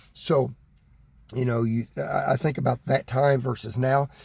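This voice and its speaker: Speaking in an American accent, a man's voice comes across as somewhat breathy. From Texas. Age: 60s. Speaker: preacher. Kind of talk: sermon. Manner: halting, with repetitions.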